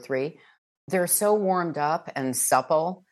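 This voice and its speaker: Against a quiet background, a woman talks at a very slow pace, her intonation lively. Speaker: audiobook narrator. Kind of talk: interview.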